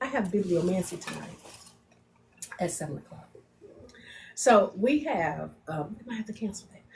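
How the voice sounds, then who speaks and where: A woman with a medium pitch speaks at a moderate pace with lively intonation, big swings in loudness and long, frequent pauses, while noticeable background noise runs behind her. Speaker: podcast co-host and spiritual practitioner. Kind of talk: casual chat.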